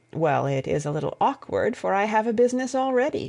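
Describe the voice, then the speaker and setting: A raspy, put-on character voice at fairly high pitch, delivered at a fairly quick pace. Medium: read story. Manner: plain, slightly bashful.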